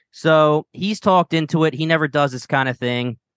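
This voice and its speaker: A man talks in a strong Philadelphia accent. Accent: strong Philadelphia-area. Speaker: podcast host. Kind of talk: casual chat.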